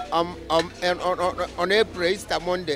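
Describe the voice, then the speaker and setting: Over music in the background, someone with a Nigerian accent speaks at a moderate pace. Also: man. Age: 70s. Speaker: war veteran; tinker. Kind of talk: interview answer.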